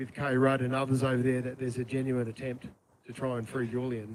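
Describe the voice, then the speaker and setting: With an Australian accent, a man speaks at a fairly quick pace. His pitch sits in the medium range. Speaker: politician. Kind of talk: rally speech. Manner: halting.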